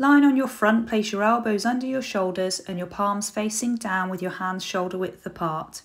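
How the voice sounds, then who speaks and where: A woman with a British accent speaks at a moderate pace. Her fairly high voice shows ordinary pitch variation. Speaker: fitness apprentice. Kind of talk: scripted exercise instruction. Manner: clear, measured, instructional.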